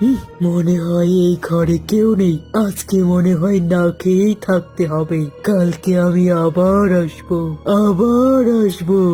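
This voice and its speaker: A cartoonish character voice at a middle pitch, speaking at a fairly slow pace. Clear music plays in the background. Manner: cackling, menacing.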